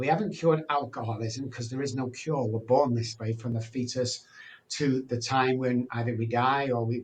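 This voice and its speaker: A fairly quick, somewhat breathy man at medium pitch, with monotone, flat intonation. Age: 60s. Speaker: addiction recovery speaker and doctor. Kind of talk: podcast interview. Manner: conversational with fillers.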